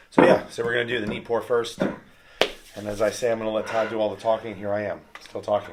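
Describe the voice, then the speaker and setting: Through noticeable background noise, a man speaks at a very fast pace and a medium pitch, with monotone, flat intonation. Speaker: whiskey reviewer. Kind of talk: casual chat.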